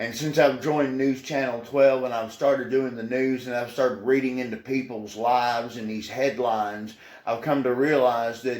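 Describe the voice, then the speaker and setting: A man in a Tennessee accent with fairly even intonation and audible room echo. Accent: Southern US (Tennessee). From Tennessee (Portland, rural Middle Tennessee). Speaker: news anchor. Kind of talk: interview.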